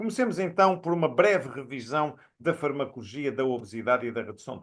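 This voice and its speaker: A man talks at a fairly quick pace with fairly high pitch. His intonation is lively, with big swings in loudness. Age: 60s. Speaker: professor and physician. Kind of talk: recorded lecture. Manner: hesitant with fillers.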